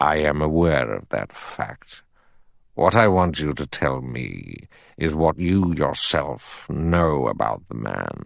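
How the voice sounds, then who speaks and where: Against a quiet background, a man uses a put-on character voice with a very deep, low pitch. His intonation is lively and his pace fairly slow. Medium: read story. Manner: authoritative, measured.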